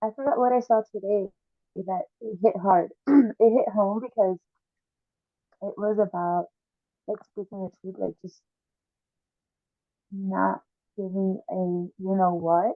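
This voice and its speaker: A woman at a fairly slow pace, with fairly even intonation and long, frequent pauses. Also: medium pitch for a woman. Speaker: podcast co-host. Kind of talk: casual chat. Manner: drops the g in -ing words.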